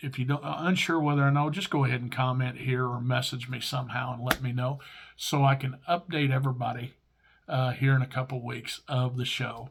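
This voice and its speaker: Speaking fairly quickly, a man has an American accent. His medium pitch holds a fairly even intonation. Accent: Midwestern and hillbilly accent combined. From Missouri. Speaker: YouTube collector, vintage baseball cards. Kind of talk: casual vlog show-and-tell. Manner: halting, many fillers.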